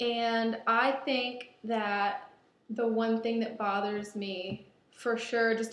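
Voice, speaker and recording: A woman's fairly high voice in a room with audible echo. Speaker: baker and shop co-owner. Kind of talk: audition video. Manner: loud.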